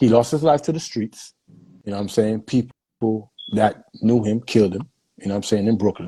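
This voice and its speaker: With an American accent, a man speaks at a fairly quick pace. His tone is dark and mellow. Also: fairly low pitch for a man, ordinary pitch variation. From New York and Jamaica. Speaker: dancehall DJ. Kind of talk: interview about mental health. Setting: live stream with comments. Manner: casual, street slang.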